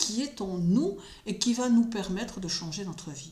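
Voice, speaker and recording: A woman's voice with very wide pitch swings and audible room echo. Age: 60s. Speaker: astrologer and spiritual commentator. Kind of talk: solo spoken commentary. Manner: hesitant with frequent fillers.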